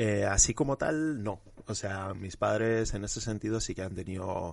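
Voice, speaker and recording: A man talks against a quiet background. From Spain, Huesca (Aragon). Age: 20s. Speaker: journalist and anti-racism activist. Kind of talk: interview.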